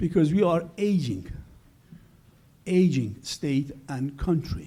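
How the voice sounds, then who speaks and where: A man speaks with a high pitch and a dark, mellow tone. His pitch varies in an ordinary way, and room echo is audible. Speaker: economist presenting study. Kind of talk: conference presentation. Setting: conference with audience.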